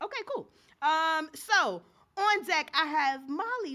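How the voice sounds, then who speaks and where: A woman speaks with a New York accent and an animated tone. Her pitch swings very widely. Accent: New York City. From New York, the Bronx. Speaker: open mic host. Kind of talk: event hosting. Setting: stage with live audience. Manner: loud.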